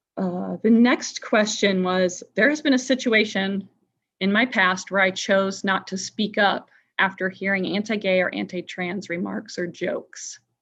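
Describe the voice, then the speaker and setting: An ordinary speaking voice from a woman with an American accent, medium pitch, ordinary pitch variation and a fairly slow pace, over a quiet background. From Indiana. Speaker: workshop facilitator. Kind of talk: online workshop discussion. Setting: video call.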